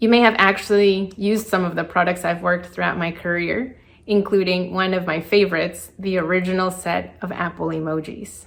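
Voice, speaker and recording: A woman with a Spanish accent, moderate pace, and fairly even intonation. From Colombia, then South Florida from age eight. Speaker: designer and entrepreneur. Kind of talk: prepared personal talk.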